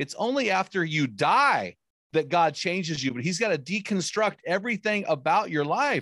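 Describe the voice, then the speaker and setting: A high-pitched man at a moderate pace with lively intonation, in a dry, close sound with no echo and a quiet background. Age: 50s. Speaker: author and men's ministry podcaster. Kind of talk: casual interview chat.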